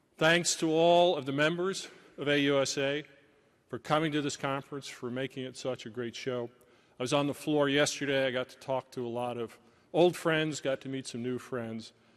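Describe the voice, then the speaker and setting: A man with an American accent talks at a moderate pace in an ordinary speaking voice, fairly high in pitch with fairly even intonation, over a quiet background. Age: 60s. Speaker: senior army civilian official. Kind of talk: conference keynote speech. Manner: formal.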